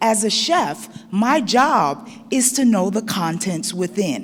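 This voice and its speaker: Through audible room echo and noticeable background noise, a woman speaks at a very slow pace. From Barbados, grew up in Brooklyn. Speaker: chef and culinary educator. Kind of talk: conference talk. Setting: stage with audience. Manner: lively, engaging with audience.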